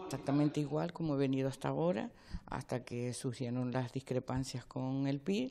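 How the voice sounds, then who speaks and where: This woman speaks at a moderate pace in a very deep, low voice with a dark, mellow tone and ordinary pitch variation. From Canary Islands, Lanzarote (Arrecife); Canary Islands. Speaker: local politician. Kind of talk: news interview. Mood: surprised, earnest. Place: hall. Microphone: handheld.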